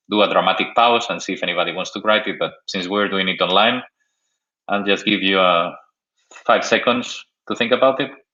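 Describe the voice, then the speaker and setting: With a Spanish accent, a man speaks at a medium pitch with ordinary pitch variation. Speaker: software developer, tech speaker. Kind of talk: technical talk. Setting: online video stream. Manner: halting with many fillers.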